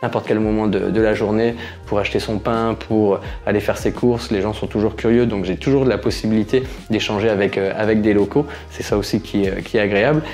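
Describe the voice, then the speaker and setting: A man speaks at a fairly quick pace in a fairly low pitch with fairly even intonation, over noticeable background noise. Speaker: YouTuber living abroad. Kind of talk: casual Q&A vlog. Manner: hesitant, many fillers.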